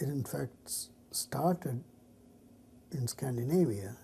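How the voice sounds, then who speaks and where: This is a man's voice with a dark, mellow tone. It sounds somewhat breathy. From India (Chennai). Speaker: mathematician. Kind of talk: interview answer.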